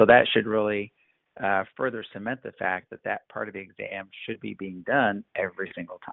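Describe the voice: A man with a fairly low pitch speaks at a fairly quick pace with vocal fry and fairly even intonation.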